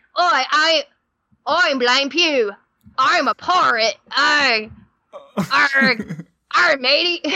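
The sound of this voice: Putting on a character voice, a woman speaks at a high pitch and a very slow pace, with long, frequent pauses.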